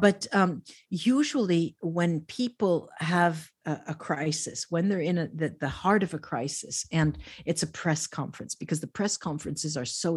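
The recording is very clean, with a silent background. A woman speaks at a fairly low pitch in a somewhat breathy voice. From Italy, raised in New Jersey. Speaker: medium and professor. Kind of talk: casual interview.

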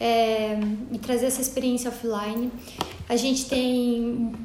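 Against noticeable background noise and audible room echo, a woman talks in a monotone, flat intonation. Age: 30s. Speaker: entrepreneur, branding specialist. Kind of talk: interview.

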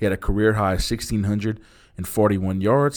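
In a very clean recording with a silent background, a man talks at a fairly quick pace in a plain, everyday voice, pitched fairly low. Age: 40s. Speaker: sports history podcast host. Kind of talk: casual chat.

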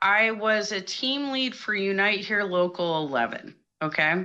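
Against a quiet background, a woman speaks at a fairly slow pace with a medium pitch, lively intonation and a bright, sharp tone. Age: 40s. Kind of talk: call-in conversation. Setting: remote call via online chat room.

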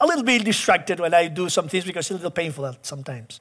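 A man talks at a very fast pace with a Spanish accent and a high pitch. His tone is bright and sharp, with ordinary pitch variation. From Chile. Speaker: pastor. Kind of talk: sermon.

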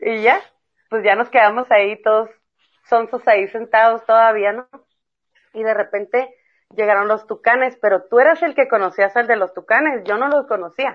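Here is a woman with an unremarkable speaking voice and a fairly high pitch. She moves at a moderate pace with ordinary pitch variation. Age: 30s. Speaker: mother and school friend of host. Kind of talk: casual chat.

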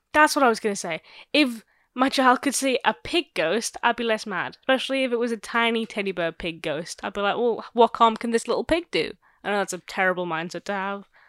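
This woman has a plain, everyday voice, speaking at a fairly quick pace in a fairly high pitch with lively intonation, in a dry, close sound with no echo and a very clean recording with a silent background. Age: 20s. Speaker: podcast co-host. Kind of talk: casual chat.

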